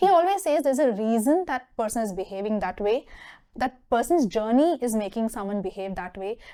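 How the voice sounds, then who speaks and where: In a Tamil accent, a woman speaks at a fairly quick pace with a fairly high pitch, very wide pitch swings and a dark, mellow tone, on a very clean recording with a silent background. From southern India, Mysore, Karnataka. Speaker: HR professional. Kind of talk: interview talk show.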